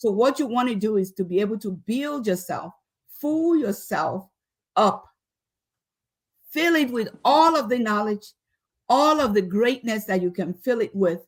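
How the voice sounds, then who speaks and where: A woman with a Nigerian accent speaks fairly slowly in a fairly high, somewhat breathy voice with lively intonation. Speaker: leadership expert and professor. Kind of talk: motivational talk to students.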